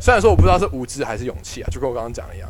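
Noticeable noise runs behind a man whose pitch swings very widely. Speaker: podcast host, student investor. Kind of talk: casual chat.

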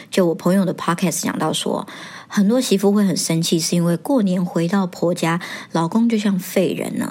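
Fairly quick speech from a woman, noticeable background noise behind her. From Taiwan. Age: 30s. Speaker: podcast host. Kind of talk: casual monologue.

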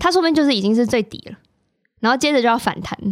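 This woman's voice sits high. Her pitch swings very widely. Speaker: podcast host. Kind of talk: casual chat.

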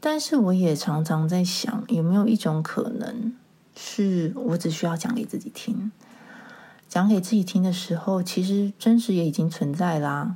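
Her pitch is medium for a woman. The intonation rises and falls in a lively way. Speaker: podcast host. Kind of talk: solo podcast monologue. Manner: relaxed, less rushed than before.

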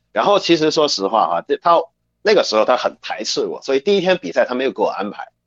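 The sound is dry and close with no echo as a man speaks at a very fast pace. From China. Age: 20s. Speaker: professional wrestler. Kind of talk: interview.

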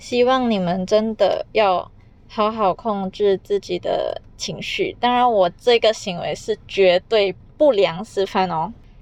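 Talking at a very slow pace, a woman with a Malaysian accent uses a medium pitch. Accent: Malaysian Chinese. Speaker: podcaster. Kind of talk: casual solo podcast monologue.

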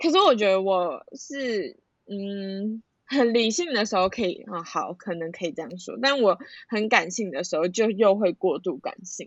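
Here a woman talks at a moderate pace. Her medium-pitched voice has lively intonation. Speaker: friend of host. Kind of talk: casual chat. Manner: loud.

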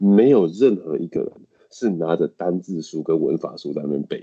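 A man with a Taiwanese accent and very wide pitch swings. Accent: Taiwanese Mandarin. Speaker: English teacher. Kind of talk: casual interview chat.

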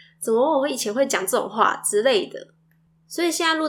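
A woman speaks at a moderate pace. Her intonation is lively. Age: young. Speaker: podcast host, mother. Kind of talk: casual monologue.

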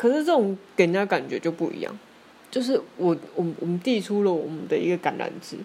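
With a dark, mellow tone and lively intonation, a woman speaks at a medium pitch and a fairly quick pace. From Taiwan. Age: 30s. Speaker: podcaster. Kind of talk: solo monologue. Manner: halting, many fillers.

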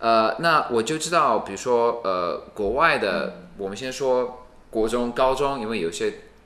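In a room with audible echo, a man with a bright, sharp tone and medium pitch speaks fairly slowly with hardly any pauses and ordinary pitch variation. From United States. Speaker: university regional president, education expert. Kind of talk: interview conversation. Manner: hesitant, many fillers.

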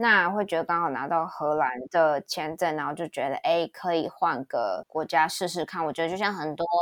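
A woman uses a normal speaking voice, fairly low in pitch with ordinary pitch variation, at a moderate pace with hardly any pauses, in a dry, close sound with no echo. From Taiwan. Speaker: cloud support engineer. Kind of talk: casual interview chat.

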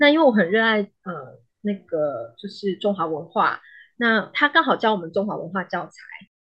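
At a moderate pace, the voice makes very wide pitch swings and big swings in loudness. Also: woman, medium pitch for a woman. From Malaysia. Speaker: psychologist. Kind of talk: interview. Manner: halting.

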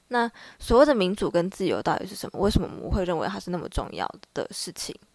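A woman's unremarkable speaking voice at a medium pitch, fairly quick and with lively intonation, on a very clean recording with a silent background. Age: 20s. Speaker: student podcast co-host. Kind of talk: casual discussion.

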